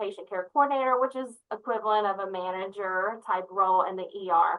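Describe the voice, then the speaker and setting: An energetic woman's voice in a Southern US accent, fairly quick, with ordinary pitch variation. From US South, Memphis area. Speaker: nurse leader. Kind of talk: interview.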